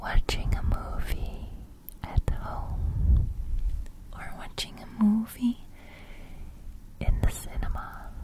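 Whispering and breathy, a woman speaks at a very slow pace with long, frequent pauses, the sound dry with no echo and noticeable background noise behind her. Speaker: ASMR creator. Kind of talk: soft ASMR chat, asking questions. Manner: breathy close-mic whisper. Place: home room. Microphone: studio mic.

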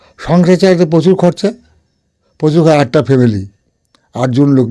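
Dark, mellow tone from a man, pitch moving in an ordinary way. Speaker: folk singer. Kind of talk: interview. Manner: halting.

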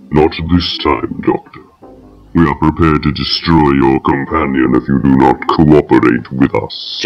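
Put-on character voice over faint music in the background. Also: man, very deep, low pitch for a man, moderate pace. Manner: flat, emotionless, menacing.

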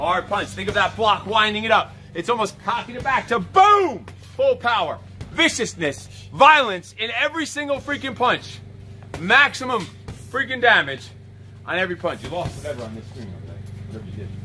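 A man at a fairly quick pace, with big swings in loudness and faint music in the background. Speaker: kickboxing coach. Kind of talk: workout coaching instructions. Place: garden.

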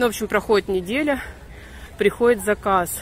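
A woman at a fairly quick pace, with ordinary pitch variation, a dry sound with no echo and light background noise. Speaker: vlogger filming her walk. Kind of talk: casual vlog chat. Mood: annoyed storytelling, wry. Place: street. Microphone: phone near.

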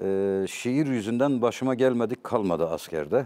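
A man at a moderate pace with lively intonation. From Turkey, Elazığ (eastern Anatolia); Turkey. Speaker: poet and literature professor; talk show guest. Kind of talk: interview, personal storytelling. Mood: reflective, emotional storytelling. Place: studio. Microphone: lapel.

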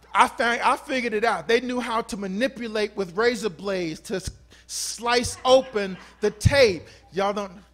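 A man's high-pitched voice, animated and playful in tone, at a moderate pace with ordinary pitch variation. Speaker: pastor. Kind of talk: sermon. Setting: church. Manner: warm, exhortative. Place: church. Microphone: handheld.

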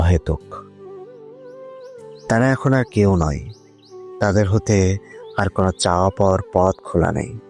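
A man's fairly low voice, dry and close with no echo, with music in the background. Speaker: voiceover artist / channel owner. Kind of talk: emotional poetry / spoken word monologue. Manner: reflective, emotional, measured.

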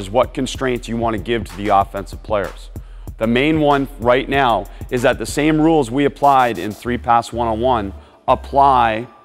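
A man at a moderate pace, ordinary pitch variation, faint music behind him. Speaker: basketball coach. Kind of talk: coaching instruction. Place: hall. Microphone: lapel.

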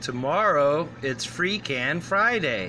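A man speaks against noticeable background noise. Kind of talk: casual vlog chat. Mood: playful, joking. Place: shop. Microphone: phone near.

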